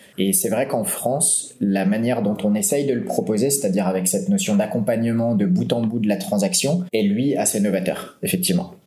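Over noticeable background noise and audible room echo, a man talks at a fairly quick pace, his pitch swinging very widely while his loudness stays very even. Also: medium pitch for a man. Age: 30s. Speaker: entrepreneur, website publisher. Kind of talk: interview.

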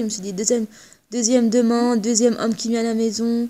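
With a dark, mellow tone, a woman talks at a fairly high pitch. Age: 30s. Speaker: social security employee sharing her marriage story. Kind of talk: interview, personal testimony.

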